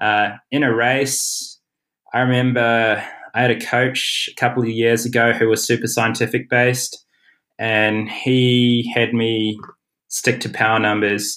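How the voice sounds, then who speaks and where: A man's medium-pitched, bright, sharp voice, fairly slow, with monotone, flat intonation and a New Zealand accent. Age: 30s. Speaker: pro triathlete. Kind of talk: interview. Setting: remote call.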